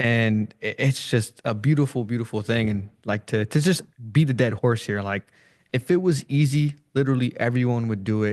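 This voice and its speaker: With a quiet background, a man speaks in a normal speaking voice at a medium pitch, with ordinary pitch variation and a moderate pace. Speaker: interview host. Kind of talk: interview.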